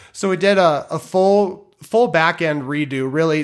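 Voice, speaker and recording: A man speaks in an ordinary speaking voice. His pitch is fairly high. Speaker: producer and software developer. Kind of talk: casual podcast chat.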